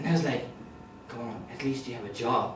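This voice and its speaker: A man is speaking. Background noise is noticeable. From North India. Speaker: stand-up comedian. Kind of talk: stand-up comedy routine. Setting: live comedy club stage.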